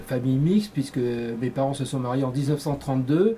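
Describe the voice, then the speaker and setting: Noticeable background noise sits behind a man's voice. His pitch is medium, with ordinary pitch variation. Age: 60s. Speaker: candidate in a community election, engineer and business executive. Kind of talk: interview. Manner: hesitant, frequent fillers.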